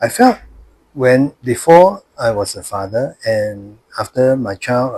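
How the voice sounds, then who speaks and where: This man's voice sits at a medium pitch and is somewhat breathy. His pitch swings very widely. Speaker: grandfather. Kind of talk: interview answer.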